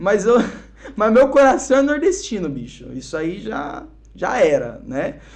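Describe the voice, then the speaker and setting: A man at an extremely high pitch, a fairly slow pace, very wide pitch swings, and big swings in loudness, with audible room echo and noticeable background noise. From Brazil, Curitiba then São Paulo from age 12. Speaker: musician and missionary, podcast guest. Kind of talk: casual podcast interview, testimony.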